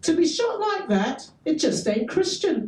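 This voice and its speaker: In a squeaky, put-on character voice, a woman talks at an extremely high pitch with very wide pitch swings. She keeps a moderate pace, and a slight echo can be heard. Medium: read story. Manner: blunt, folksy.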